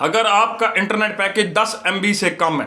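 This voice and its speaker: This man's voice is high in pitch. He speaks in a raised, projected way. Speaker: YouTuber, IPTV/OTT service seller. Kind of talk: casual vlog monologue. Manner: sounds like arguing, forceful tone.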